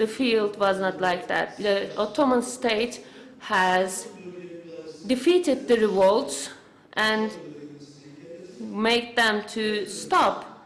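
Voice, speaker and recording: Amid audible room echo, a woman speaks at a very slow pace with long, frequent pauses and ordinary pitch variation. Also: fairly high pitch for a woman. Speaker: conference interpreter or symposium speaker. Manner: halting, many fillers and restarts.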